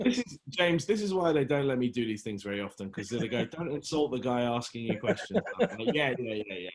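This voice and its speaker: Here a man with a British accent talks very fast at a medium pitch. His pitch swings very widely. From London, England. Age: 40s. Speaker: actor. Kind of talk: casual chat. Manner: halting.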